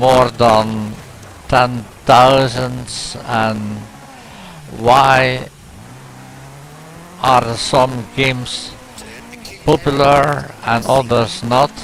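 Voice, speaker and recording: A man's flat, monotone delivery at a very slow pace, with long, frequent pauses and noticeable background noise. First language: Dutch. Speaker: gaming YouTuber. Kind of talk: gameplay commentary. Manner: halting, many fillers.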